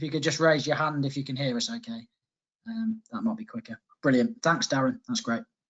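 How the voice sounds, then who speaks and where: With a Coventry accent, a fairly high-pitched man talks at a fairly quick pace with lively intonation. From Coventry, England. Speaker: software sales manager. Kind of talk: webinar presentation. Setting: online webinar.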